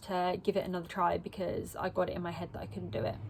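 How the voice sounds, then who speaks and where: In a very clean recording with a silent background, a woman with an Essex accent speaks at a medium pitch. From England, Essex. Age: 20s. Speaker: vlogger. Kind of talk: personal vlog monologue. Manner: rambling, hesitant with many ums.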